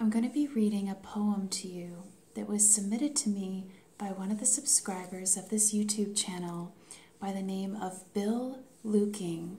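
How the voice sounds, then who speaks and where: A woman's calm, soothing voice at medium pitch, with ordinary pitch variation and a moderate pace. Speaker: ASMR creator, life coach. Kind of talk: ASMR intro talk to camera. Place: home room.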